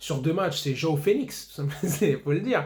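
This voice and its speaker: A man speaks in a somewhat breathy, fairly high voice. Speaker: football YouTuber. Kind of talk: match debrief monologue. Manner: fast; animated.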